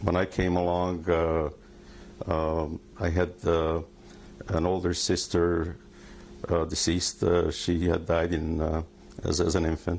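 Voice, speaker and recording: Speaking with a Hungarian accent, a man has a very deep, low pitch, monotone, flat intonation and very even loudness. He goes at a fairly slow pace with long, frequent pauses. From Hungary. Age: 60s. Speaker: Holocaust survivor. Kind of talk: testimony. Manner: halting.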